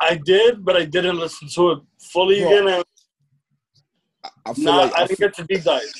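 Talking at a fairly slow pace with long, frequent pauses, a man with high pitch shows ordinary pitch variation and big swings in loudness. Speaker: podcast co-host.

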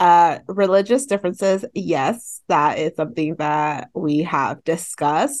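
A woman with an American accent has an ordinary speaking voice, fairly low in pitch, with lively intonation. She talks at a fairly slow pace with hardly any pauses against a quiet background. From San Fernando Valley, California. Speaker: podcast co-host. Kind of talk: casual chat.

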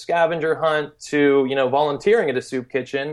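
Very fast speech against a quiet background. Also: man. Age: 30s. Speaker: volunteer travel company founder. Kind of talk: interview. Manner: casual, many fillers and repetitions.

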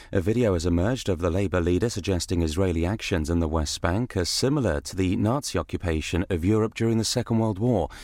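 Talking at a very fast pace with a British accent, a man with a very deep, low pitch uses ordinary pitch variation. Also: hardly any pauses. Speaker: radio newsreader. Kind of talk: news reading: brisk, crisp, authoritative bulletin delivery. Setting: studio. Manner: formal; fast, even-paced, businesslike.

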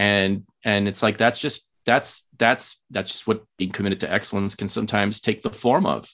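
With an American accent and a fairly low pitch, a man talks at a moderate pace with hardly any pauses against a quiet background. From Los Angeles, US. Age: 30s. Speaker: podcast guest. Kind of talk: casual chat. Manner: animated.

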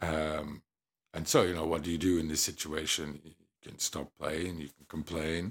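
With an English accent, the voice stays monotone and flat in intonation while showing big swings in loudness. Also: man, very deep, low pitch for a man, moderate pace. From England. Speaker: musician. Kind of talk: casual interview. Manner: hesitant, many fillers.

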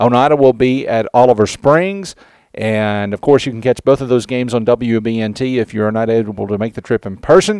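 A man with an unremarkable speaking voice talks at medium pitch and a moderate pace. His pitch varies in an ordinary way, and the sound is dry and close with no echo. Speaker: newspaper publisher and sports podcast host. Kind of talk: podcast hosting and interview. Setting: locker room. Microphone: poor audio quality.

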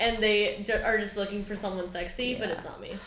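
Noticeable background noise runs through the clip. The voice belongs to a woman. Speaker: podcast co-host. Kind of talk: casual chat. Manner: animated.

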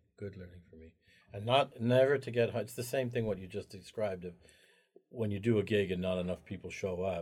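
A man speaks fairly quickly in a fairly low, somewhat breathy voice with ordinary pitch variation and big swings in loudness. The recording is very clean, with a silent background. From Anglo-Indian family. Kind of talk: casual interview conversation.

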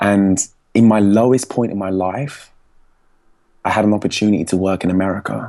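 A man with an English accent speaks at a moderate pace with a fairly low pitch. His tone is dark and mellow, with long, frequent pauses. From England. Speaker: public speaking coach. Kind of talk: interview. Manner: energetic.

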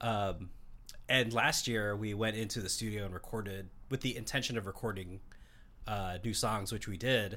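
The man's fairly low voice moves at a moderate pace, with fairly even intonation. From Seattle, US Pacific Northwest. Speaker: bass player. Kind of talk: casual interview chat. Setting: studio.

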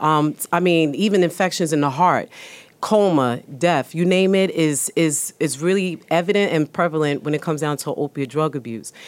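A New York accent with ordinary pitch variation, on a very clean recording against a silent background. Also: woman, very deep, low pitch for a woman, moderate pace. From New York, South Bronx. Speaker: emergency room physician. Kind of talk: panel discussion. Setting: studio.

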